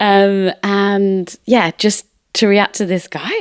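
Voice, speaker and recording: A woman speaks with a northern English accent. The sound is dry and close, with no echo. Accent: very British, very northern English. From northern England, Manchester. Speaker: music industry professional. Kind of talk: casual podcast conversation.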